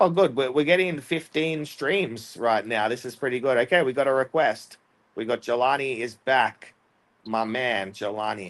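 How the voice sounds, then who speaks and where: With an Australian accent, a man speaks at a moderate pace and medium pitch, using ordinary pitch variation. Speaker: debate livestream host. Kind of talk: casual livestream chat. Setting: live stream on StreamYard. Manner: casual, filler-heavy.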